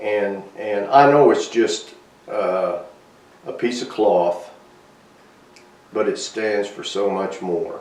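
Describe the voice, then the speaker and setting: A man at a very slow pace with long, frequent pauses, audible room echo and noticeable background noise. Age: 70s. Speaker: army veteran. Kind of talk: interview testimony. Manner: halting.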